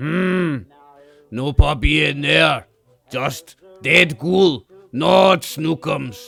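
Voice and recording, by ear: A man puts on a character voice in a fairly high pitch. He speaks very slowly, with long, frequent pauses.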